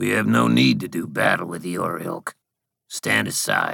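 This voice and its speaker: Gravelly and very deep, a man does a put-on character voice. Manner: haughty, dismissive.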